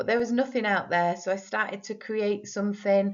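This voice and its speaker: With a northern English accent, a woman speaks at a moderate pace using fairly even intonation. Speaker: teacher and spelling scheme creator. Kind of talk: presentation for parents. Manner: explanatory, clear.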